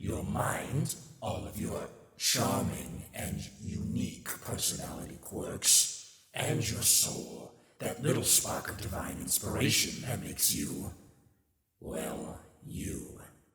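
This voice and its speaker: Putting on a character voice with very wide pitch swings, a man speaks at a fairly slow pace and fairly low pitch, with slight echo. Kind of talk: ASMR roleplay audio. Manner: sassy, mocking.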